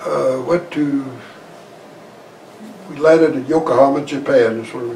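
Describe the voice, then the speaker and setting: A man with a Western US accent and a fairly high pitch, at a moderate pace with fairly even intonation, amid noticeable background noise. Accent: American Western. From Idaho, USA. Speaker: war veteran; farmer. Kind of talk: interview answer.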